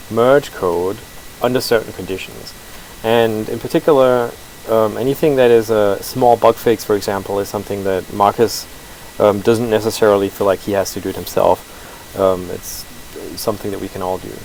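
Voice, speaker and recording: Over noticeable background noise, a man mumbles at a moderate pace with a fairly low pitch and fairly even intonation. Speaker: open source software developer. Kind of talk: live-streamed code review. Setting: live stream, no audio feedback. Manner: mumbling; hesitant, many fillers.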